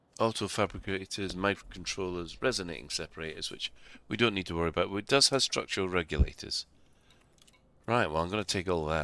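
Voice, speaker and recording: A man with a very deep, low voice speaks at a very fast pace in a bright, sharp tone. His pitch varies in an ordinary way, and the recording is very clean with a silent background. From Scotland, Glasgow. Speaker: game streamer. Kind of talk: casual gameplay commentary.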